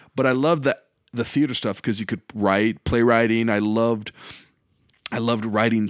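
A speaker with a Midwestern American accent talks at a moderate pace with fairly even intonation. The recording is very clean, with a silent background. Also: man, dry, close sound with no echo. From eastern Iowa, Davenport. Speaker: comedian and high school teacher. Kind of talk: casual interview chat. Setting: makeshift home studio.

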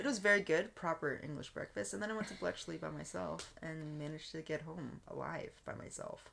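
A woman with an American accent talks at a fairly quick pace. Noticeable background noise is present. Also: hardly any pauses. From Texas. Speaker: guest. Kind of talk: casual chat.

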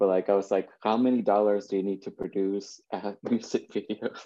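In a Spanish accent, a man speaks at a moderate pace with fairly low pitch. His tone is dark and mellow, and his intonation is monotone and flat. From Mexico (Jalisco, near Lake Chapala). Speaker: conceptual artist. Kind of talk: casual interview. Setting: video call. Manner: hesitant, many fillers.

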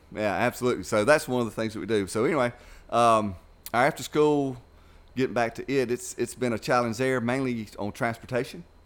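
Speaking at a fairly quick pace, a man with an Alabama accent uses a medium pitch and ordinary pitch variation. The recording is very clean, with a silent background. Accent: Southern US (Alabama). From US South, Dothan, Alabama. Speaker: youth club director. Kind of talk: casual chat. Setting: studio.

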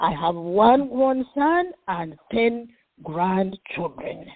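A woman's animated, fairly high voice in an American accent, with very wide pitch swings. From Western Uganda. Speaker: professor and minister. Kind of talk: interview.

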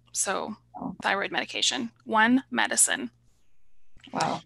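Behind the speaker, the background stays quiet. She is a woman talking with an American accent. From Oklahoma, US. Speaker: holistic pharmacist. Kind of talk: interview.

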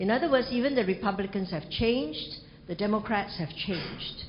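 Over noticeable background noise and audible room echo, a woman with a fairly high pitch talks at a moderate pace. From Singapore. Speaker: ambassador and university professor. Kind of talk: lecture and Q&A.

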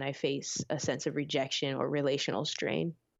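Speaking at a moderate pace with an American accent, a woman has a very deep, low pitch, vocal fry and monotone, flat intonation. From Orlando, Florida (born Philippines). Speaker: author and spoken word artist. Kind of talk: interview.

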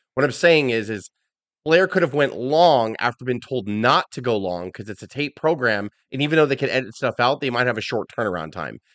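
A man's medium-pitched voice, fairly quick, with lively intonation and an animated tone. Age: 40s. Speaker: wrestling podcast co-host. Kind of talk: casual chat.

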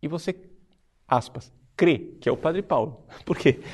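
A man with a fairly high pitch and vocal fry talks against a quiet background. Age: 40s. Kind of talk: religious teaching talk. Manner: formal.

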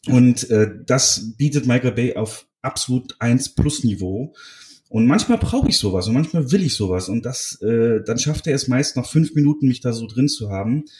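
A man speaks at a moderate pace in a somewhat breathy, medium-pitched voice with ordinary pitch variation. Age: 30s. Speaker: film podcaster. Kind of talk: casual chat; film plot summary.

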